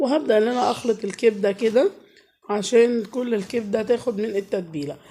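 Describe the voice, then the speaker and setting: Noticeable background noise sits behind a woman who speaks at a moderate pace with a fairly high pitch and ordinary pitch variation. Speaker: cooking vlogger and mother. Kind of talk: cooking vlog voiceover. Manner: casual and chatty.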